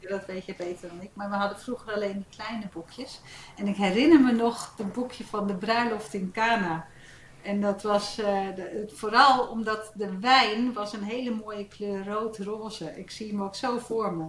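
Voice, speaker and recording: A woman speaks at a moderate pace with fairly even intonation and big swings in loudness. There is noticeable background noise. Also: medium pitch for a woman. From Netherlands, Gouda and Hilversum. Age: 50s. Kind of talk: casual chat.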